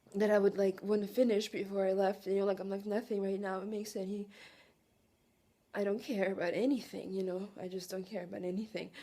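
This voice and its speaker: A woman with a Russian accent speaks very fast in a dark, mellow tone, her intonation monotone and flat. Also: medium pitch for a woman. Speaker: vlogger. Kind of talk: emotional personal monologue. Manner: halting, emotional.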